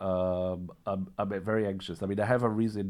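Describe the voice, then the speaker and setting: A man's fairly low voice at a fairly quick pace with fairly even intonation. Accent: Israeli. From Israel. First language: Hebrew. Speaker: vlogger sharing personal health story. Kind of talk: personal testimony monologue. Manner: halting, many repetitions and fillers.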